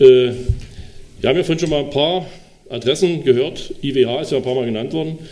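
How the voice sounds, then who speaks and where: With an unremarkable speaking voice, a man talks at a moderate pace and fairly high pitch with ordinary pitch variation. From Sachsen-Anhalt, Dessau. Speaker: state politician. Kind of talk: panel talk.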